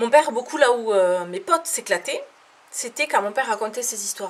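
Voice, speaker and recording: Her pitch fairly high, a woman speaks with lively intonation at a moderate pace. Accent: southern French. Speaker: comedian. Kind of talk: stand-up. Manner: animated.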